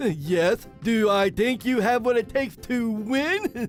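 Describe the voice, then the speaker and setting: A put-on character voice at a fairly slow pace over clear background music. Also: man, extremely high pitch for a man. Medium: audio drama. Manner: stammering, questioning.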